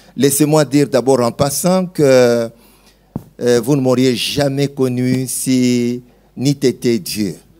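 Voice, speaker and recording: Music plays in the background as a man speaks at a very slow pace with long, frequent pauses. His medium pitch, very even loudness and fairly even intonation hold throughout. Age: 60s. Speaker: pastor. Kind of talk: testimony.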